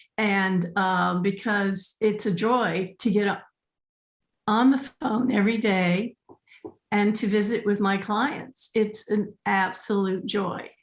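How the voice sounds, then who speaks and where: A woman's somewhat breathy medium-pitched voice with an American accent, very slow, with fairly even intonation and very even loudness. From California. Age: 70s. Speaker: animal communicator and pet astrologer. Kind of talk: interview podcast.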